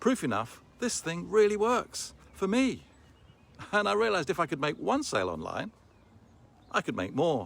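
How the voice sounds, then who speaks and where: A man with vocal fry and very wide pitch swings, at a moderate pace. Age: 60s. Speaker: online business promoter. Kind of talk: sales pitch.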